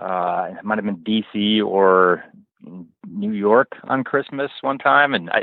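Speaking very slowly, a man uses a fairly low pitch with ordinary variation. He has an American accent. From Oklahoma (Norman). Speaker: commercial pilot. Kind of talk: casual chat. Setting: airport, pre-recorded call.

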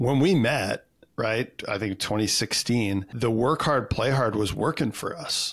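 A man with a Canadian accent uses an ordinary speaking voice at a fairly slow pace with ordinary pitch variation, on a very clean recording with a silent background. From Canada. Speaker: personal development coach. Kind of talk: casual interview chat.

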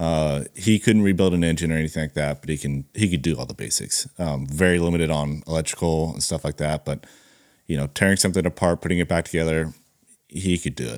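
Talking at a very fast pace, a man with an American accent uses a very deep, low pitch and ordinary pitch variation. The recording is very clean, with a silent background. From California. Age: 20s. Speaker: diesel mechanic and repair business owner. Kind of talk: casual chat.

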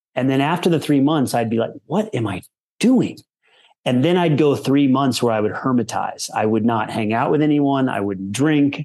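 Here is a man with an unremarkable speaking voice and medium pitch. He moves at a moderate pace with lively intonation. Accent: General American. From Colorado. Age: 40s. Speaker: keynote speaker and performance coach, former pro tennis player. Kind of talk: casual interview.

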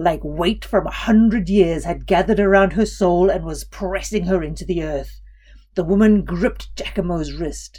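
Intonation holds fairly even. The delivery is an unforced reading voice.

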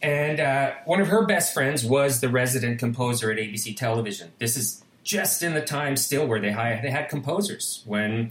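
In a plain, everyday voice, a man at medium pitch talks at a moderate pace with lively intonation. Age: 50s. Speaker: composer and musician. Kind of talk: interview conversation.

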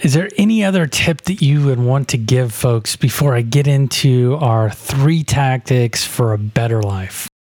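A man speaks in a plain, everyday voice at a medium pitch, with lively intonation. His pace is fairly slow, his loudness very even, and he leaves hardly any pauses. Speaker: podcast host. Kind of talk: casual interview.

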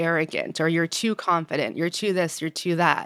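In an American accent, a woman uses a normal speaking voice, fairly low in pitch and fairly even in intonation, on a very clean recording with a silent background and a dry, close sound with no echo. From New York. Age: 30s. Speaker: diversity and inclusion executive. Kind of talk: interview.

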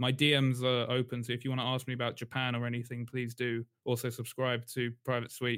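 Speaking fairly quickly in a London accent, a man holds a medium pitch with monotone, flat intonation. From London, England. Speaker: writer. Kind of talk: casual chat.

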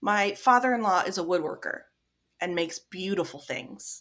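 With a Midwestern accent, a woman talks at a moderate pace. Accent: general American, Midwestern. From US Midwest. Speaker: grief support founder, bereaved mother. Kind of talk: casual interview chat.

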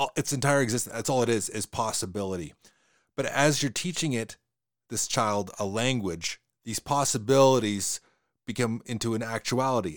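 Spoken with a Western Canadian accent, the voice shows ordinary pitch variation. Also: man, dry, close sound with no echo, very clean recording, silent background. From Western Canada. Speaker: podcast host. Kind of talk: casual podcast discussion. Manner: fast talker, hesitant with repeated words.

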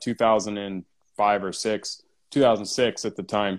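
Recorded very cleanly against a silent background, a man with an American accent uses an ordinary speaking voice, fairly low in pitch with fairly even intonation. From US West Coast, San Diego. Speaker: entrepreneur. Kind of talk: casual interview chat. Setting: live stream.

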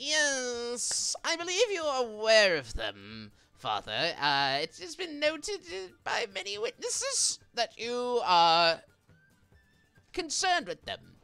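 A put-on character voice at a fairly slow pace over faint background music. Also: woman, high pitch for a woman. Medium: actual play. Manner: oily, ingratiating.

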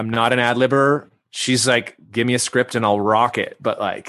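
A man with a Canadian accent speaks at a moderate pace and medium pitch. His tone is bright and sharp, his intonation monotone and flat. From western Canada (Vancouver). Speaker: actor. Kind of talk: interview.

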